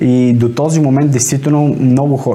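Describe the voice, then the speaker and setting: A man speaks in a plain, everyday voice, medium in pitch, at a moderate pace. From Bulgaria, Sofia. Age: 20s. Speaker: door-to-door salesman. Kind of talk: interview.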